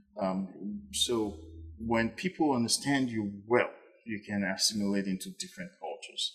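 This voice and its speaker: At a moderate pace, a man speaks with a Nigerian accent. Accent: Nigerian accent, still noticeable. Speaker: podcast host. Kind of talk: casual chat. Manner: clear and audible; hesitant, with frequent repetitions.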